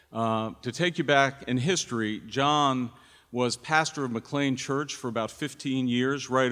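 An unremarkable speaking voice from a man at medium pitch, fairly slow, with ordinary pitch variation, on a very clean recording with a silent background. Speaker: church pastor. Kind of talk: introducing a guest preacher at a church service. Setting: church.

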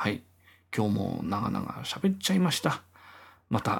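This man talks at a moderate pace and sounds somewhat breathy. His pitch swings very widely. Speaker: podcaster and guitarist. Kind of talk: casual solo monologue.

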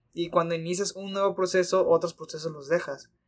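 Here a man talks at a fairly quick pace. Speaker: podcast co-host. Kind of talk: casual chat.

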